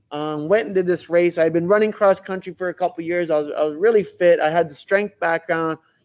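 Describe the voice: A man's high voice with a slightly mellow tone at a fairly quick pace. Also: ordinary pitch variation.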